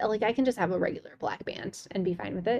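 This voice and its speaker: A woman talks at a very fast pace with ordinary pitch variation. Her tone is dark and mellow, with vocal fry. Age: 30s. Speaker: podcast host, mother. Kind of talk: casual chat.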